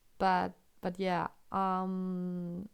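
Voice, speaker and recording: A woman speaks at a medium pitch with a German accent. The recording is very clean, with a silent background. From Germany. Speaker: chess streamer and commentator. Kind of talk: live commentary. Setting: live stream.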